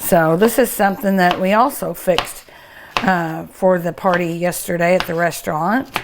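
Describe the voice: A woman's fairly low voice at a moderate pace, with fairly even intonation.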